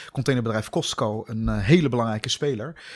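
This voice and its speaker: A man at a fairly quick pace, medium pitch, with ordinary pitch variation. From Netherlands. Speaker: political scientist. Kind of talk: interview. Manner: halting.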